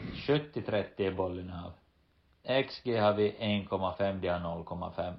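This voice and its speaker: Speech moves at a very slow pace with ordinary pitch variation. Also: man, very deep, low pitch for a man. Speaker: professional footballer and podcast co-host. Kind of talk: casual chat.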